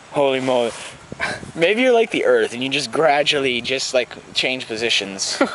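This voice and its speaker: Noticeable background noise behind a man speaking at a moderate pace with ordinary pitch variation. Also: medium pitch for a man. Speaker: podcast co-host. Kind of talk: casual chat.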